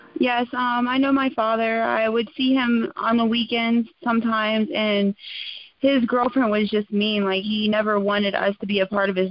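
At a moderate pace, a woman with an unremarkable speaking voice talks at a fairly high pitch, her intonation fairly even. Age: 20s. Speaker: recovering addict sharing testimony. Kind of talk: testimony.

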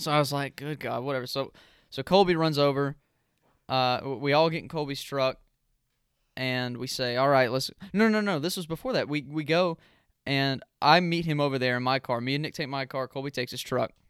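A man speaks at a fairly quick pace with a fairly high pitch. He has an unremarkable speaking voice with ordinary pitch variation. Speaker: podcast host. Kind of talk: casual chat.

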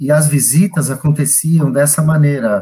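A man speaks at a fairly slow pace in a fairly high pitch. His tone is dark and mellow, and somewhat breathy. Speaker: hospital director and infectious disease doctor. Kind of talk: live panel interview.

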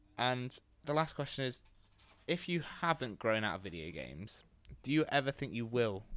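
With an English accent and a medium pitch, a man speaks at a moderate pace with very wide pitch swings and long, frequent pauses in a very clean recording with a silent background. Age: 20s. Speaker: podcast co-host, university student. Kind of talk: casual chat.

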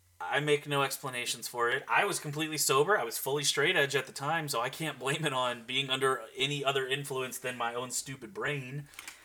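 With hardly any pauses, a fairly high-pitched man talks at a fairly quick pace with fairly even intonation over noticeable background noise. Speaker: podcast co-host. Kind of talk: casual chat.

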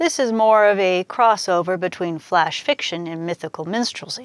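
At a moderate pace, a woman talks in a normal speaking voice, medium in pitch with ordinary pitch variation. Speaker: poet and fiction podcaster. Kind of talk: spoken-word poetry reading, rhymed verse read aloud. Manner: measured, lyrical, rhythmic.

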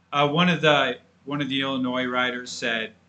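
A man with an unremarkable speaking voice keeps a moderate pace, his pitch varying in an ordinary way. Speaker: podcast co-host, college football fan. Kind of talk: casual sports podcast chat.

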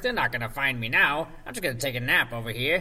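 A man's cartoonish character voice at medium pitch, very fast, over clear background noise. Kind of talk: cartoonish, relaxed.

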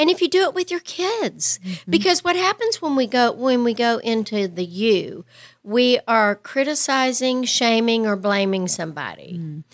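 A woman's fairly high voice with an American accent at a moderate pace, in a very clean recording with a silent background and a dry, close sound with no echo. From West Texas. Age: 60s. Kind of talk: casual interview chat.

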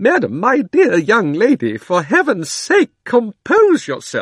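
A man's shrill, shaky, put-on character voice at an extremely high pitch, shouting at a fairly slow pace. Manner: trembling, frantic.

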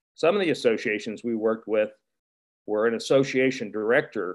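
A man's normal speaking voice with an American accent, medium in pitch with ordinary pitch variation. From Wheeling, West Virginia. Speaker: retired resort executive. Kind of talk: panel discussion.

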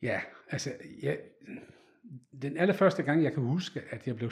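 A man's somewhat breathy voice moves fairly slowly, its intonation lively. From Netherlands. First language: Dutch (speaking Danish). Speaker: photographer. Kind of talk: interview. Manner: halting.

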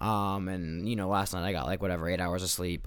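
A man's very deep, low voice keeps to fairly even intonation. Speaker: podcast host. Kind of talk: casual monologue. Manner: halting, many fillers.

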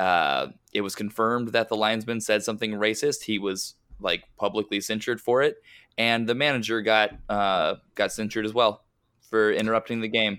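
In an American accent, a man with fairly low pitch and a bright, sharp tone speaks at a moderate pace. His intonation is fairly even, and the recording is very clean with a silent background. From Westchester, New York. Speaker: soccer podcast host. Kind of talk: casual chat.

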